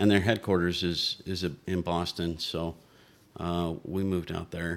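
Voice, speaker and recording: A man with a very deep, low pitch speaks in a flat monotone at a moderate pace on a very clean recording with a silent background. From Utah. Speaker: army veteran, church member. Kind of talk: casual interview. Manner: reserved, few words.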